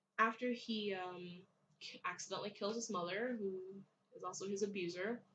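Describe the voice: This recording consists of plain reading aloud.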